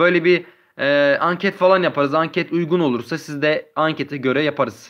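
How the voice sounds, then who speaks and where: A man speaks at a moderate pace in a normal speaking voice, his fairly high pitch showing ordinary variation. The background is quiet. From Turkey, Adıyaman. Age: 20s. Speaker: gaming YouTuber. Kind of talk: live stream chat with viewers. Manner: casual, reading chat aloud.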